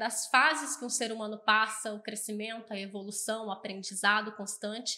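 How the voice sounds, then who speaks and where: A woman speaks at a fairly high pitch and moderate pace in a plain, everyday voice. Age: 20s. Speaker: accounting firm customer success staff. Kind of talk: podcast interview.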